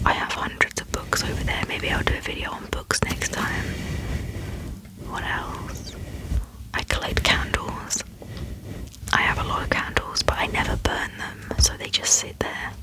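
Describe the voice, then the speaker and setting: A woman whispers at a moderate pace, with long, frequent pauses. Noticeable background noise is present. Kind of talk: ASMR Q&A, casual talk to camera. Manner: soft-spoken, friendly, chatty.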